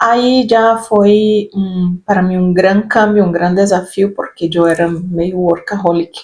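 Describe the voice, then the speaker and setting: At a very slow pace, a woman with a Brazilian accent speaks at medium pitch, her loudness very even and her intonation fairly even. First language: Portuguese (speaking Spanish). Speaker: spiritual self-help youtuber. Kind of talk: reflective personal talk. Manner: halting, with fillers.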